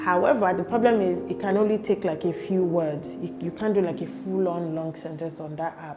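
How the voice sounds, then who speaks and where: A woman speaks with hardly any pauses over noticeable background noise. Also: fairly quick pace. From Nigeria. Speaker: YouTuber. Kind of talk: casual vlog advice. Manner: chatty, conversational.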